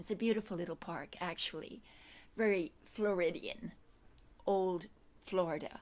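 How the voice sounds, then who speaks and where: On a very clean recording with a silent background, a woman speaks at a moderate pace with ordinary pitch variation. She takes long, frequent pauses. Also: medium pitch for a woman. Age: 60s. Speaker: yoga instructor. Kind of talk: casual chat. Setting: outdoors. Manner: halting.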